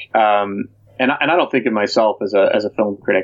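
A man's plain, everyday voice, fairly low in pitch, with fairly even intonation and an American accent. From US Midwest, Chicago. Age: 40s. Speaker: film director. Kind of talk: casual interview.

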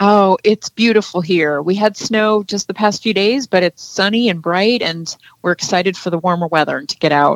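Speaking with an unremarkable speaking voice, a woman keeps a moderate pace at a medium pitch, varying it in an ordinary way and pausing hardly at all. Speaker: caller. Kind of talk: call-in radio question.

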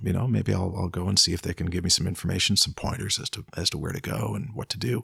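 Delivered at a very fast pace with a Canadian accent, the voice has vocal fry and ordinary pitch variation. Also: man. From Ontario, Canada (Peterborough). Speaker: songwriter and music producer. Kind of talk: casual interview chat. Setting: at the host's home.

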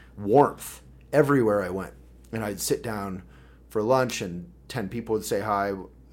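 Using a plain, everyday voice, a man speaks at a moderate pace with ordinary pitch variation. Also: fairly low pitch for a man. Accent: American. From Boulder, Colorado. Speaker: political candidate and publisher. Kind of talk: casual chat. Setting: office.

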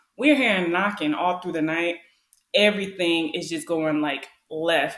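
A woman with an American accent has an unremarkable speaking voice at a fairly low pitch. Her intonation is lively. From Wisconsin, US. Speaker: solo podcaster, military service member. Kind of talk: casual conversation, personal storytelling.

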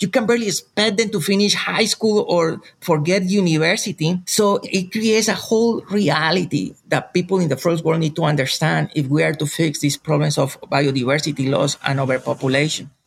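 A high-pitched man talks at a fairly quick pace in a Spanish accent, with hardly any pauses. His loudness stays very even. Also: ordinary pitch variation. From Colombia, rural jungle region. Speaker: professor and researcher. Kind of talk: interview. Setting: remote call from family farm in Colombia.

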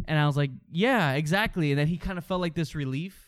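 A man talks at a fairly high pitch with ordinary pitch variation. The recording is very clean, with a silent background. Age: 20s. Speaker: movie podcast host. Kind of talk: casual chat. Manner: halting.

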